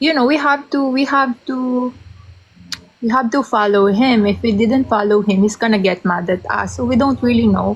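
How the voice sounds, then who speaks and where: Over noticeable background noise, a woman with a Filipino accent speaks at a moderate pace. Her fairly high voice holds very even loudness and ordinary pitch variation. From Philippines. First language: Tagalog. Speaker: interviewee sharing personal story. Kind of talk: interview. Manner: halting, code-switching.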